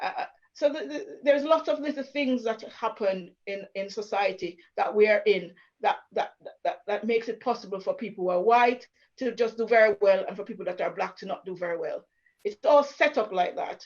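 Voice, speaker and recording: At a moderate pace, a woman with a fairly high pitch uses lively intonation, and her loudness swings widely. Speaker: churchgoer speaking about racism. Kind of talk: panel conversation. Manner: animated.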